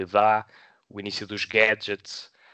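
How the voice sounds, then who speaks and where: A man speaks with a fairly low pitch. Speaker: film podcast co-host. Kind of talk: casual film review discussion.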